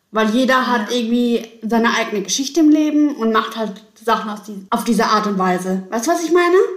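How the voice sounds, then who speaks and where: Her pace is fairly quick and her tone animated, with lively intonation and a fairly high pitch. There is audible room echo around this woman's voice. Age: 30s. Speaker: salesperson and student. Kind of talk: casual chat.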